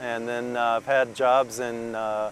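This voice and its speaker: A man at medium pitch with fairly even intonation, an unremarkable speaking voice. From Minnesota, US Midwest. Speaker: professor and writer. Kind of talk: interview monologue. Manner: frequent fillers and self-corrections.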